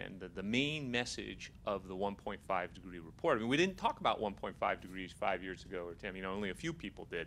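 Over light background noise, a man with a plain, everyday voice speaks fairly quickly with lively intonation. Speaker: panelist. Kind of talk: panel discussion answer. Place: meeting room. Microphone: handheld.

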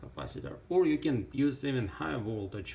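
A man's voice with vocal fry and very wide pitch swings, at a fairly slow pace over light background noise. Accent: non-native. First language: not English. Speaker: ham radio hobbyist, electronics builder. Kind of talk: casual tutorial talk to camera. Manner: hesitant, many fillers. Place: workshop. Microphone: phone near.

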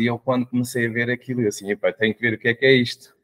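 Against a quiet background, a man delivers his words in a flat monotone at a medium pitch. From Portugal. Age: 40s. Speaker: mentor and coach; podcast guest. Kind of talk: interview. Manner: hesitant, with fillers. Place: home room.

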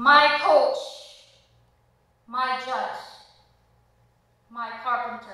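In a strong room echo, a woman uses a raised, projected voice at a very slow pace with fairly even intonation. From Belize. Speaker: spoken word performer. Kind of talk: spoken word poetry performance. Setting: theater stage. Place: stage.

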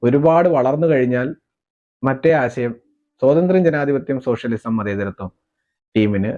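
A man's dark, mellow voice with very wide pitch swings. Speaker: political commentator on a YouTube channel. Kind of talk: political commentary monologue.

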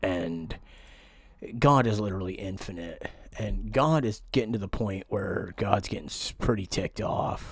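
With an American accent, a man speaks at a moderate pace in a fairly low, somewhat breathy voice. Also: ordinary pitch variation. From Pennsylvania, US. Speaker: conspiracy vlogger. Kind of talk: vlog monologue. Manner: halting.

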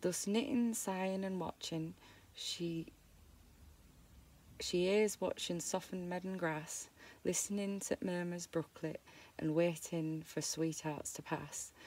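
With a Yorkshire accent, a woman talks at a fairly slow pace and fairly low pitch with ordinary variation, leaving long, frequent pauses in a dry sound with no echo. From Yorkshire, England. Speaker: amateur reader of dialect poetry. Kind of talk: dialect poetry reading. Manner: halting, stumbling over words. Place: home room.

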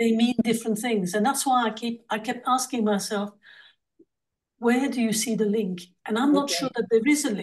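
A fairly high-pitched woman's voice with fairly even intonation against a quiet background. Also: moderate pace. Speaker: discussion participant with medical background. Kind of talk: group discussion. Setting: video call. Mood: puzzled, questioning. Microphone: video call.

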